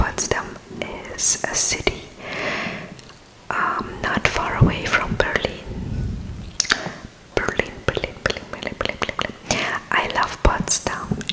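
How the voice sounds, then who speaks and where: Very slowly, a woman whispers with long, frequent pauses over noticeable background noise. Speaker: ASMR vlogger. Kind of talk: casual talk to camera. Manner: whispered.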